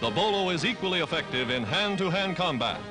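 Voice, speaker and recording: Music plays in the background as a man speaks in a high pitch. His pitch swings very widely. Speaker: newsreel narrator. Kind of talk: newsreel narration. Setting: archival film soundtrack.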